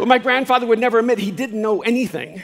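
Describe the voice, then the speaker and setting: A man rattles off his words very fast while noticeable noise fills the background. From El Salvador. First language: Spanish. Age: 60s. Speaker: speaker and author. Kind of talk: motivational keynote talk. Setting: live stage.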